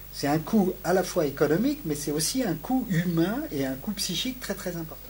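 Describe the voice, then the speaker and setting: At a moderate pace, a man talks with vocal fry and very wide pitch swings. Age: 60s. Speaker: sociology professor. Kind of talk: interview. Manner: halting, with many repetitions and hesitations.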